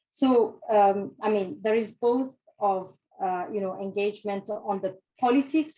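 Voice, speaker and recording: With a dark, mellow tone, a woman speaks using ordinary pitch variation. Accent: Italian. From Italy. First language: Italian. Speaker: trade union representative, panelist. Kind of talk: panel discussion. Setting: hybrid event in a room. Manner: halting, many fillers.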